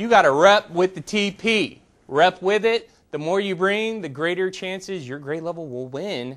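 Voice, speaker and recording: At a moderate pace, a man speaks loudly in a high pitch with ordinary pitch variation. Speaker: school staff member giving announcements. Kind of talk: school announcements. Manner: halting.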